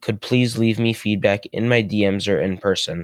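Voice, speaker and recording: A man's fairly even intonation at a moderate pace. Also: dry, close sound with no echo. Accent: American. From New York, US. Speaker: podcast host. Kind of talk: casual interview.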